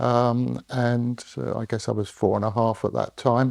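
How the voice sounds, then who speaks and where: In a southern English accent, a man of medium pitch talks at a fairly slow pace with fairly even intonation, the sound dry and close with no echo. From southern England (London, Berkshire). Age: 70s. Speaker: retired engineer. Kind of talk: oral history interview. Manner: hesitant, many fillers.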